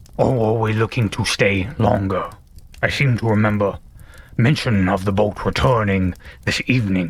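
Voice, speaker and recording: Using a put-on character voice, a man holds very even loudness at a fairly low pitch and a moderate pace. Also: ordinary pitch variation. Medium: actual play. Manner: formal, reserved.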